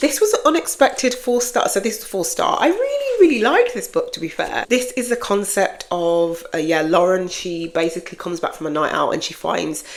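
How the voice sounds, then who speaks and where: At a moderate pace, a woman talks while noticeable background noise carries on. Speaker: book vlogger. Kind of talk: casual chat. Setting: home office. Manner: casual, unscripted.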